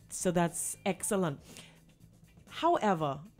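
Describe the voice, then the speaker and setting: A woman's voice with ordinary pitch variation, set against music in the background. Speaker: radio host. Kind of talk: radio interview host.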